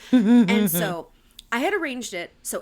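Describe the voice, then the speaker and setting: A woman speaks in an animated tone with an American accent. The recording is very clean, the background silent. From New Jersey, Warren County. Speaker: podcast co-host, actress. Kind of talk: casual chat.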